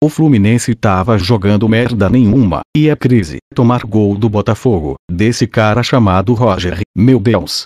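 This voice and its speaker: A plain, everyday voice talks at a fairly slow pace with ordinary pitch variation. The sound is dry and close, with no echo. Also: man. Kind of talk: sports commentary, a fan's recap of a match, profane and partisan.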